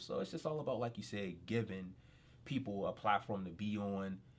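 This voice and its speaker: At a moderate pace, a man with an American accent speaks at a fairly low pitch. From Pittsburgh, Pennsylvania. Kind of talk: casual interview. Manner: hesitant, many fillers.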